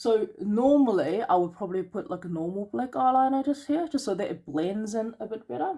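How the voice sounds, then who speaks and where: A woman speaks at a moderate pace with a fairly high pitch and very wide pitch swings. Her tone is dark and mellow, and somewhat breathy. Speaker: beauty business owner. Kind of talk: tutorial. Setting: home during lockdown.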